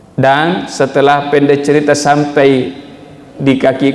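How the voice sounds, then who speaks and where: A man talks at a fairly slow pace. The recording has noticeable background noise and audible room echo. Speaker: preacher. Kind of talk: sermon. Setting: mosque with congregation and sound system.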